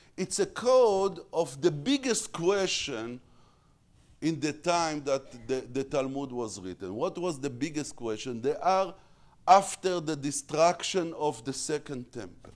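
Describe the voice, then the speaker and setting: With an Israeli accent, a man speaks at a fairly slow pace, his fairly high pitch swinging very widely. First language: Hebrew. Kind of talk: lecture. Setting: stage with audience. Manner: halting, frequent repetitions.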